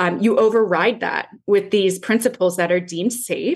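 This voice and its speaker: A plain, everyday voice from a woman, with ordinary pitch variation at a moderate pace. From Canada, Toronto. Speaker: yoga teacher. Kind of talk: casual chat.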